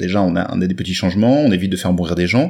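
This man speaks with a northern French accent. His intonation is lively. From northern France. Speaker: comics expert. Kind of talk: casual chat.

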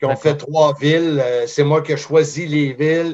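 Fairly even intonation in a plain, everyday voice. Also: man. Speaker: wrestling commentator. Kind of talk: interview.

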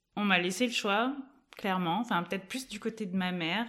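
Very clean recording of a woman, silent background throughout. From southwestern France, Toulouse area. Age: 30s. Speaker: startup co-founder. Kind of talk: interview. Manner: energetic.

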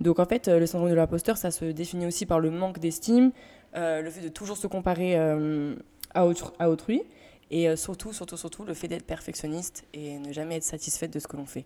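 A woman speaks at a fairly quick pace with a fairly low pitch and a dark, mellow tone. Her pitch varies in an ordinary way, while her loudness swings widely. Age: 20s. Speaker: music label manager. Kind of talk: casual chat.

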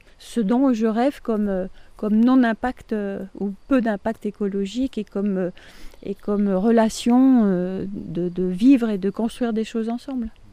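This is a plain, everyday voice, showing ordinary pitch variation and a fairly slow pace. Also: woman. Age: 60s. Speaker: resident of a participatory housing project. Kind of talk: interview.

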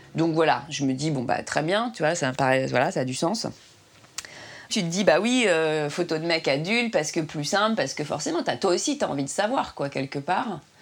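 A woman speaks at a moderate pace, her fairly low voice carrying lively intonation. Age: 30s. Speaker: woman pursuing solo fertility treatment. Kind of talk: personal testimony. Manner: halting.

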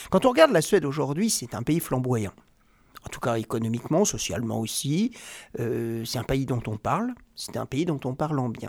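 A man with an unremarkable speaking voice, medium in pitch, speaks at a moderate pace with lively intonation. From Normandy, France. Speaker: investment banker. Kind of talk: interview.

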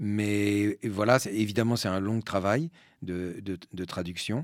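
Recorded very cleanly with a silent background, a man speaks at a fairly low pitch. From French Basque Country and Spain. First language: Spanish (speaking French). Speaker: actor and stage director. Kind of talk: public talk interview. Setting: cinema with live audience. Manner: hesitant, repeats words.

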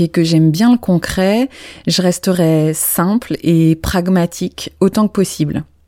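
Very slow in pace, a woman speaks with a dark, mellow tone in a dry, close sound with no echo. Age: 40s. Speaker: therapist and podcast host. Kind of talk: solo podcast monologue.

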